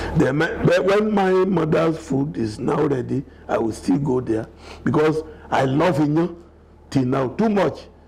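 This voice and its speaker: Over noticeable background noise, a man speaks with lively intonation, fairly high pitch and very even loudness. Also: fairly slow pace. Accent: Nigerian. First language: Yoruba. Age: 70s. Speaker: elder telling his life story. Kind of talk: interview.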